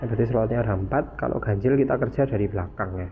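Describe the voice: A man at a fast pace with ordinary pitch variation. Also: fairly low pitch for a man.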